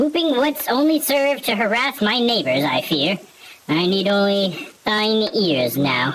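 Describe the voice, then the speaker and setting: A put-on character voice, squeaky and fairly high-pitched, with very wide pitch swings at a fairly slow pace. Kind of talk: archaic, formal. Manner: solemn.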